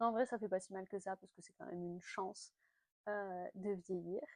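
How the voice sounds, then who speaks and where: A woman's voice with a dry, close sound and no echo. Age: 30s. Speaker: lifestyle vlogger. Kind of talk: casual chat. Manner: hesitant, many fillers.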